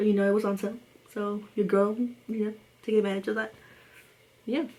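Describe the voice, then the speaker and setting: A woman speaks at a fairly quick pace with a medium pitch. Her intonation is monotone and flat. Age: 20s. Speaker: beauty vlogger. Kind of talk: casual chat. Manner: fast.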